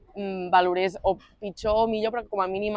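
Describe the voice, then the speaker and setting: A woman's monotone, flat intonation sits over noticeable background noise. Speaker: slam poet. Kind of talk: interview answer.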